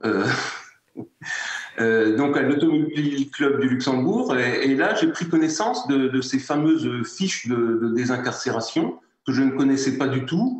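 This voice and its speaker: Very even loudness, a fairly slow pace, a Lorraine accent and ordinary pitch variation. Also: man, fairly high pitch for a man. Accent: Moselle (Lorraine) lilting. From France, Moselle. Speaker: award-winning entrepreneur. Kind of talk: interview. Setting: in-person at online ceremony. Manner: hesitant, many repetitions.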